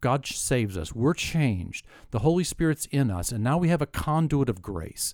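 Captured in a very clean recording with a silent background, a man speaks at a moderate pace and a fairly high pitch with very wide pitch swings. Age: 50s. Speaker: podcast co-host. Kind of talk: casual faith discussion.

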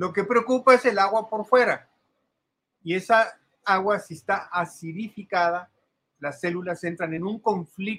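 A man speaks at a fairly slow pace with a high voice. His pitch varies in an ordinary way. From Mexico. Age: 70s. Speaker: alternative health advocate. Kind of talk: explanatory talk. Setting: video call.

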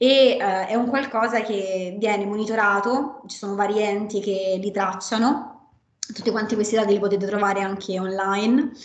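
A woman's medium-pitched voice with fairly even intonation at a moderate pace, plus audible room echo. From Rome, Italy. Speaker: aerospace systems engineer. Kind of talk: online panel talk.

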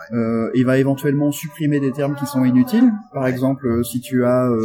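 Music in the background behind a man speaking with ordinary pitch variation. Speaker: software developer and tech evangelist. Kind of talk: technical interview. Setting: backstage at a tech conference.

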